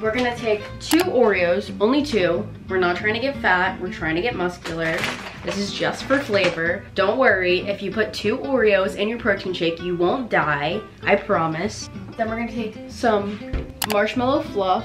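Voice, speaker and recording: A woman talks at a moderate pace. Clear music plays behind her. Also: ordinary pitch variation. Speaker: vlogger. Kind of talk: casual vlog tutorial. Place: kitchen. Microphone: phone near.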